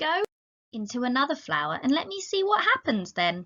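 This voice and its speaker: A woman puts on a character voice pitched high. Her pitch swings very widely. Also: moderate pace. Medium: read story. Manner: curious, wondering.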